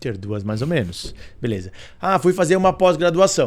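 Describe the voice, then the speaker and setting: This man's tone is animated. Very wide swings run through his pitch. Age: 40s. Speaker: corporate director. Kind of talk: interview.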